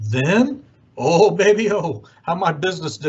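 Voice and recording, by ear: With lively intonation, the passage is delivered as reading aloud in a natural voice.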